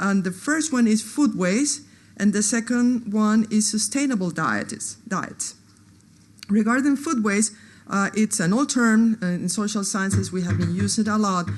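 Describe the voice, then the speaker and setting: A woman speaks at a fairly slow pace with a fairly high pitch and a somewhat breathy quality. Her pitch varies in an ordinary way. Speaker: anthropologist. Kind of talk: conference talk. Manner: halting, many fillers.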